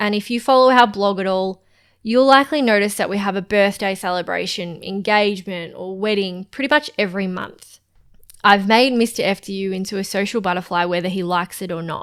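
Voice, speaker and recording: At a fairly quick pace, a woman speaks in a medium pitch with ordinary pitch variation on a very clean recording with a silent background. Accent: Australian. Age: 20s. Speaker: podcast co-host, freelancer. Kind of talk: casual podcast chat.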